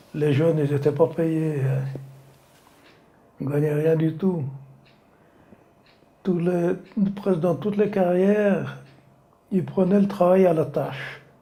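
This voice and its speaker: With long, frequent pauses, a man talks at a very slow pace in a fairly high voice with fairly even intonation, and the room echo is audible. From France, Savoie (Maurienne valley). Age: 80s+. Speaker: retired slate quarry worker. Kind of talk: oral history interview. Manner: halting.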